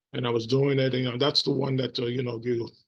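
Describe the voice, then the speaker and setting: A man speaks in a flat monotone with a somewhat breathy voice. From New York City. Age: 60s. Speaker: vlogger, former teacher. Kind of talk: casual vlog monologue. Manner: halting, many fillers.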